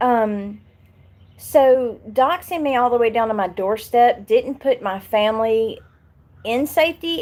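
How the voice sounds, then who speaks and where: On a very clean recording with a silent background, a woman talks with a Southern US accent. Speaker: YouTuber. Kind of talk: live stream chat. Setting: live stream.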